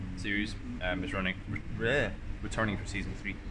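A man talking at a fairly quick pace amid noticeable background noise. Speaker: video host. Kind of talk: casual vlog chat. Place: cafe.

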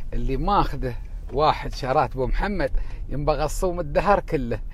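At a fairly slow pace, the voice makes very wide pitch swings, recorded dry with no echo and light background noise. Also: man. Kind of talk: casual vlog chat. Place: car. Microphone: earbuds.

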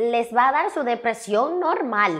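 Against a quiet background, a woman talks at a fairly high pitch with ordinary pitch variation. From Dominican Republic, Santiago; Dominican Republic. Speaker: comedian and influencer; talk show guest. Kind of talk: interview. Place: studio. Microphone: lapel.

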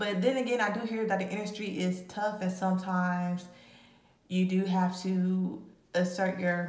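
Audible room echo surrounds a woman who speaks at a moderate pace with fairly even intonation. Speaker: tarot reader. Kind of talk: casual tarot reading commentary. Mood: casual, amused. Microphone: phone near.

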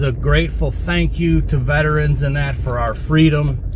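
The sound is dry with no echo as a man talks over noticeable background noise. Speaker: land management vlogger. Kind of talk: casual vlog chat. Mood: earnest then upbeat. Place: car. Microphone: phone near.

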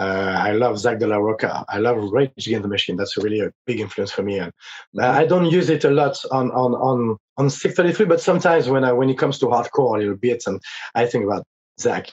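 A man speaks with a French accent and lively intonation. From France. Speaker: rock vocalist; guest. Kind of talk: interview. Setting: video call. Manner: halting. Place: home room.

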